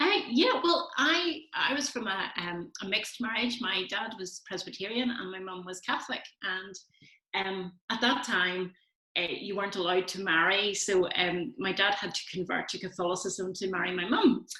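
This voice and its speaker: A woman speaks with a Belfast accent at a medium pitch. Her pace is moderate and her pitch varies in an ordinary way. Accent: Belfast Northern Irish. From Northern Ireland, Belfast. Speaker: church community coordinator and food bank worker. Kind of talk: casual interview.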